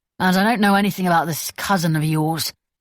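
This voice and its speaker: In a put-on character voice, a female-sounding speaker rattles along at a very fast pace, gravelly and fairly low in pitch for a woman. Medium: read story. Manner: ferocious, profane.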